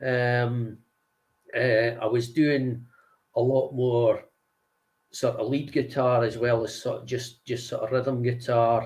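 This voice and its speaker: A man with a Scottish accent speaks at a very slow pace with long, frequent pauses, his medium-pitched, somewhat breathy voice monotone and flat. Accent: Scottish (Angus). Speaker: singer and guitarist. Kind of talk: interview. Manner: halting.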